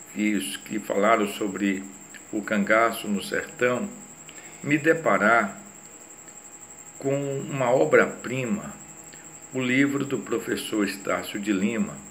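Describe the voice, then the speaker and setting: A man at a medium pitch speaks with lively intonation at a very slow pace with long, frequent pauses, amid audible room echo and noticeable background noise. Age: 60s. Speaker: retired police chief and psychoanalyst. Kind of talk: lecture.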